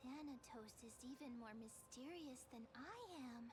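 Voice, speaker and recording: Someone performs a put-on character voice. Loud background noise runs underneath. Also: female-sounding voice, high pitch for a woman, moderate pace. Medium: video game. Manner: bubbly, playful.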